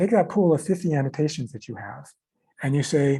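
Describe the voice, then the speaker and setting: A somewhat breathy man's voice, fairly high in pitch, dark and mellow in tone, with lively intonation. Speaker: software developer giving a demo. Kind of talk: technical tutorial demo. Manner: repetitive, halting.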